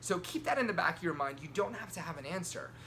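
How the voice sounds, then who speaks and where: Quiet man with a fairly high pitch. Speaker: sales and persuasion coach. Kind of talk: motivational talk to camera. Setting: hotel room. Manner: kept quiet, voice held down.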